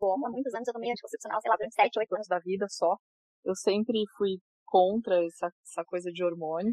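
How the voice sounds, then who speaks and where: A woman speaks at a fairly quick pace in a medium pitch with ordinary pitch variation. It is a plain, everyday voice. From interior of São Paulo state, Brazil. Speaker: yoga teacher. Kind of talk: casual interview chat.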